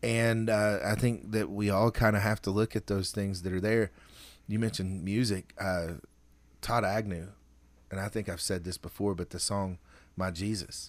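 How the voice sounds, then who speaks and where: Fairly low in pitch, a man with a plain, everyday voice talks at a moderate pace with fairly even intonation, on a very clean recording with a silent background. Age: 40s. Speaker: podcast host and pastor. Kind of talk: casual chat.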